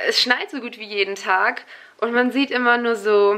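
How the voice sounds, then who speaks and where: A woman keeps a moderate pace, her intonation fairly even. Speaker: vlogger. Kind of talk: casual vlog chat. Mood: impressed, chatty. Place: home room. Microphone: phone near.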